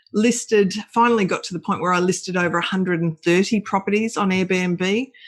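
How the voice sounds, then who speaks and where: Fairly quick and with fairly even intonation, a woman talks in an Australian accent. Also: medium pitch for a woman. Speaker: short-term rental entrepreneur. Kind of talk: podcast interview. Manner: hesitant fillers.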